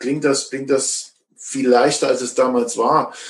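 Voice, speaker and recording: A man speaks at a fairly slow pace, his pitch sitting in the medium range. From East Germany. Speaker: works council member. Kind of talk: panel discussion. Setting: video call. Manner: halting, repetitive.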